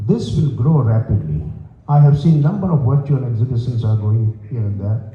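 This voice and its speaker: A medium-pitched man's voice with audible room echo and noticeable background noise. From India. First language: Gujarati. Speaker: panelist, stamp collector and exhibitor. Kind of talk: panel discussion presentation.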